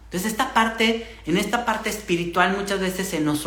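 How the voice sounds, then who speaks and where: With noticeable background noise and audible room echo, a man speaks at a moderate pace with ordinary pitch variation. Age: 40s. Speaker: podcast host and human design coach. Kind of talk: live stream monologue. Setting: live stream with viewer comments. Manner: hesitant, many repetitions and fillers.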